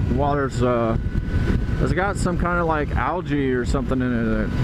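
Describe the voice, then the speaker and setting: Over loud background noise, the speech moves at a moderate pace in a dry sound with no echo. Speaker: motorcycle vlogger. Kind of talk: casual vlog chat. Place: motorbike. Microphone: helmet.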